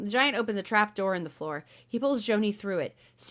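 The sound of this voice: The pitch shifts in an ordinary way across this unforced reading voice.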